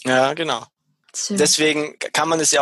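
The sound is dry and close, with no echo. A man talks at a moderate pace with a fairly high pitch. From Bavaria, Munich area. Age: 40s. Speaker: shaman. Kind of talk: interview. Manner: hesitant, frequent fillers.

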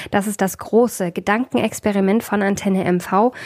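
Noticeable background noise runs under the clip. A woman talks with ordinary pitch variation at a moderate pace. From East Germany. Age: 30s. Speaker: radio host. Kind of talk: radio interview.

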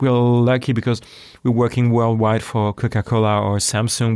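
A man with a French accent speaks in a monotone, flat manner on a very clean recording with a silent background. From France. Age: 40s. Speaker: audio branding agency founder. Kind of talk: interview.

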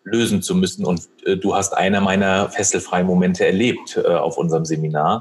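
A man's fairly low-pitched voice, a normal speaking voice, with fairly even intonation and a fairly quick pace. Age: 30s. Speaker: retail manager and coach. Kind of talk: podcast interview. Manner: many filler sounds (ähm, äh).

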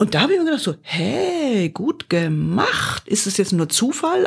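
A somewhat breathy woman in a very clean recording with a silent background. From Bavaria. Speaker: podcast host reviewing corporate podcasts. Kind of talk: casual chat.

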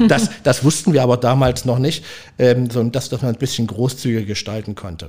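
A man's somewhat breathy voice at medium pitch, with ordinary pitch variation and a fairly quick pace. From Leipzig, East Germany. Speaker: restaurant owner. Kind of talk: casual interview. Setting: restaurant. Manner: halting, many repetitions.

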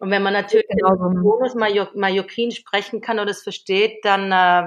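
A woman speaks at a moderate pace and a medium pitch. Her intonation is flat and monotone. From Switzerland. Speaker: entrepreneur. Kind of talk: casual interview chat. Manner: hesitant, many fillers.

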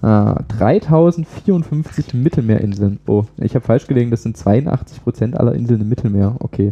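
Speaking fairly slowly with hardly any pauses, a man with an unremarkable speaking voice uses lively intonation at medium pitch. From Saxony, eastern Germany (Pirna area). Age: 20s. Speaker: young politician and parliamentary candidate. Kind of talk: interview.

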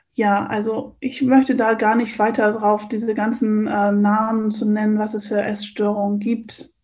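With a fairly high pitch and a somewhat breathy quality, a woman talks at a fairly slow pace in a flat monotone, with hardly any pauses. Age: 50s. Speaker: coach and eating trainer. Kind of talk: interview.

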